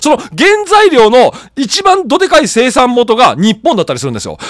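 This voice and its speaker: Noticeable background noise sits behind a man whose animated delivery has very wide pitch swings. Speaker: political news YouTuber. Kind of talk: solo news commentary. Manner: casual, rambling.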